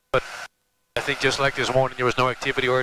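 The man's voice sounds dry with no echo, though noticeable background noise is present. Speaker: pilot vlogger. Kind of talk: casual vlog chat. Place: plane. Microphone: headset.

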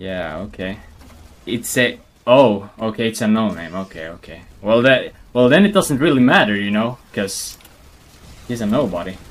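A man with a Swedish accent speaks at a moderate pace and medium pitch with ordinary pitch variation. He leaves long, frequent pauses. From Sweden. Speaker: gaming streamer. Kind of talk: casual gameplay commentary. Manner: casual, animated.

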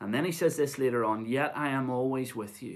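This man talks at a fairly quick pace with a medium pitch and ordinary pitch variation.

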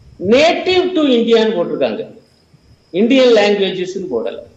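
An animated man speaks at an extremely high pitch. Room echo is audible around his voice. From Tamil Nadu, India. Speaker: professor and Marxist political commentator; professor, Marxist political commentator. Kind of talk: televised panel debate. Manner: animated, argumentative. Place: home room. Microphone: earbuds.

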